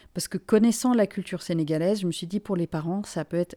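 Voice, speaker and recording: In a very clean recording with a silent background, a woman talks fairly quickly at a medium pitch, her tone dark and mellow and her pitch varying in an ordinary way. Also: dry, close sound with no echo. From Finland and Senegal. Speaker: journalist. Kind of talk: interview. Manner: halting.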